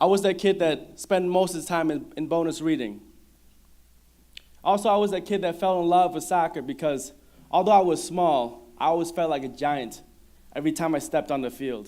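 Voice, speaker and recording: This man has a high-pitched voice with a dark, mellow tone. He talks at a fairly quick pace with ordinary pitch variation. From Minnesota. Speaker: mentor and former student speaker. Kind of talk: prepared speech.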